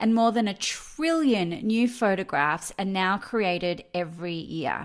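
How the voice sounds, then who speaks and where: Enthusiastic and fairly slow, a woman speaks with very wide pitch swings over a quiet background. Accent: Australian. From Australia, Melbourne. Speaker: professional photo organiser. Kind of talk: online summit presentation.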